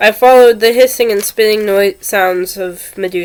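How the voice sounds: Pitch rises and falls in an ordinary way in this natural reading voice.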